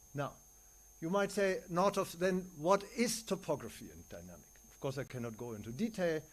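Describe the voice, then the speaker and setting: A man talks at a moderate pace in a German accent, his voice pitched high. His pitch swings very widely and his loudness shifts a lot, on a very clean recording with a silent background. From Germany. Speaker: neuroscientist and philosopher. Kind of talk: conference lecture.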